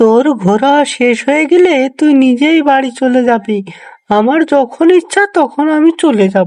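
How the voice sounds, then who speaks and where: In a cartoonish character voice, a female-sounding voice speaks at a high pitch and a fairly slow pace. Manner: commanding.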